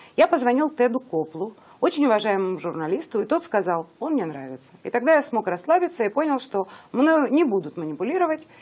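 With very wide pitch swings, a woman talks at a fairly quick pace in a high voice. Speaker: interviewer. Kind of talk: interview. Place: studio. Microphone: lapel.

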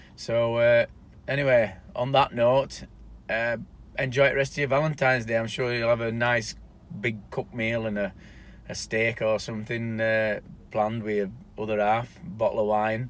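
The recording is dry with no echo. A man talks at a moderate pace with fairly even intonation. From South Yorkshire, England. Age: 40s. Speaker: YouTuber. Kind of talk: casual vlog monologue. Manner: halting. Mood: relaxed, somewhat somber. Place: car. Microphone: phone near.

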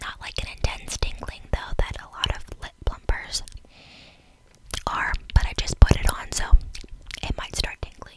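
Someone whispers, leaving long, frequent pauses. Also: woman, moderate pace. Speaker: beauty content creator. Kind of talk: soft ASMR product review chat. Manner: soft close-mic ASMR speech. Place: home room. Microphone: studio mic.

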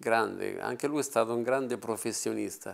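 Pitch varies in an ordinary way throughout. The voice belongs to a man. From Italy. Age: 60s. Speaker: film actor. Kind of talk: interview. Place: home room.

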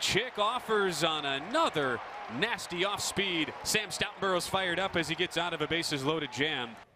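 The speaker is a man with a high pitch. He goes at a fairly slow pace over noticeable background noise. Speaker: baseball play-by-play commentator. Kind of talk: live sports commentary, highlight reel. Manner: clipped, punchy call-outs that swell on big hits and strikeouts.

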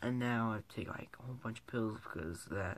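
At a moderate pace, a man talks with ordinary pitch variation over light background noise. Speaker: vlogger. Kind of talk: casual vlog chat. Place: home room. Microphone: phone near.

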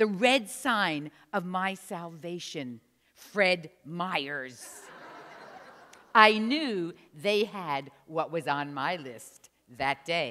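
With an American accent, a woman speaks very slowly at a fairly low pitch, her tone bright and sharp, her intonation lively and her loudness swinging widely. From New Jersey. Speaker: storyteller. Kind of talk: storytelling performance. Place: church.

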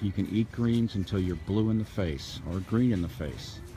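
Over faint music, a man speaks at a moderate pace with a fairly low pitch and ordinary pitch variation, the sound dry with no echo. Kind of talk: casual walking vlog commentary. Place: market. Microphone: phone near.

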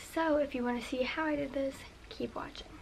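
A woman with a high pitch speaks over light background noise. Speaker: beauty vlogger. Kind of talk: casual tutorial chat. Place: home room. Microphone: camera far.

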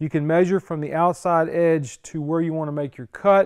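A high-pitched man talks at a moderate pace. Behind him the background is quiet. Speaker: car restorer host. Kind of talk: tutorial. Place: garage.

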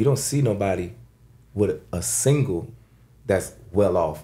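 Somewhat breathy, a man speaks with a dark, mellow tone at a fairly low pitch. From Florida. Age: 30s. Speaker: rapper; podcast guest or host. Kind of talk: casual chat. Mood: relaxed, joking. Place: studio. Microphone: studio mic.

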